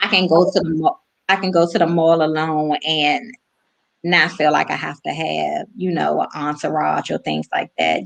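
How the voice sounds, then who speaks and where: A woman with an American accent speaks at a moderate pace in an unremarkable speaking voice, her pitch fairly low, against a quiet background. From Washington DC area. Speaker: guest on women's faith talk show. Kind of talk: casual faith interview.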